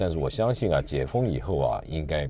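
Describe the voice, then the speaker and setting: With vocal fry and a dark, mellow tone, a man speaks at a fairly quick pace in a very deep, low pitch with lively intonation, the sound dry with no echo. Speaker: radio show host. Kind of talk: radio host introduction. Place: studio.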